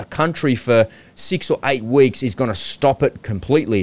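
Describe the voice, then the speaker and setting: A man with an Australian accent speaks at a moderate pace with lively intonation in a very clean recording with a silent background, the sound dry and close with no echo. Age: 40s. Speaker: podcast host. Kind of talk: solo monologue. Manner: animated.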